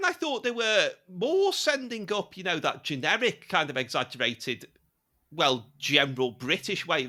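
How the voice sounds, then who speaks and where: Heard in a very clean recording with a silent background, a man with a Liverpool accent speaks in a bright, sharp tone with very wide pitch swings. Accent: Liverpool (Scouse). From Liverpool, England. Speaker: British interviewee on comedy. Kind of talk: casual chat.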